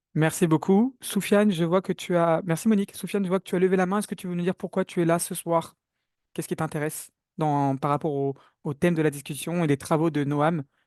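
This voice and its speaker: A man's high-pitched voice at a fairly quick pace, with ordinary pitch variation and big swings in loudness, dry and close with no echo, over a quiet background. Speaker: webinar moderator. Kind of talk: online webinar moderation. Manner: fast.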